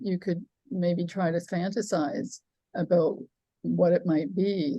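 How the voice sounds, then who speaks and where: A woman speaks fairly slowly in a fairly low pitch, her tone dark and mellow, with ordinary pitch variation. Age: 80s+. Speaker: author. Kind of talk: audience Q&A. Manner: halting.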